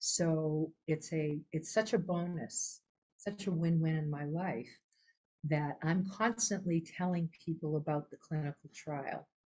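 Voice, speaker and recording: Somewhat breathy, a woman speaks at a fairly low pitch in a dark, mellow tone with ordinary pitch variation. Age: 70s. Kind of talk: personal testimony in a webinar. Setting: online webinar. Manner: halting, with many fillers and restarts.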